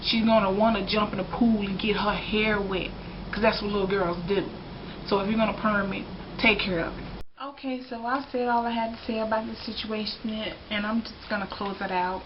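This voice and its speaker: A woman with an American accent speaks with a fairly high pitch. Her intonation is fairly even, and background noise is noticeable. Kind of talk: casual talk to camera. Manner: frank, opinionated.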